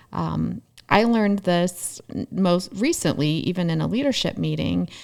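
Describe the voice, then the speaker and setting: On a very clean recording with a silent background, a woman with a plain, everyday voice speaks at a fairly low pitch and a fairly slow pace. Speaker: therapist. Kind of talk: casual chat.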